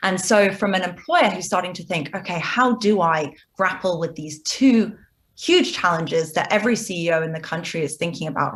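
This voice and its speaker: A woman with a British accent, somewhat breathy, at a moderate pace. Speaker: business executive. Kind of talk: TV interview.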